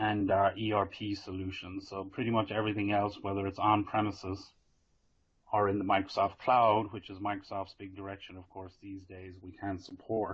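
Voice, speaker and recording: In an Irish accent, a man talks at a moderate pace with fairly low pitch and monotone, flat intonation, his loudness swinging widely. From Ireland. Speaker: IT consultant presenting a vendor webinar. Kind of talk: business webinar presentation. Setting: working from home, online webinar.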